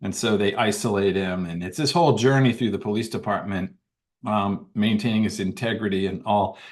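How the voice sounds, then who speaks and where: Fairly quick speech from a man with an ordinary speaking voice, fairly low in pitch, ordinary pitch variation, quiet background. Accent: American. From Washington DC area, US. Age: 60s. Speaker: author and former police officer. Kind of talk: interview storytelling.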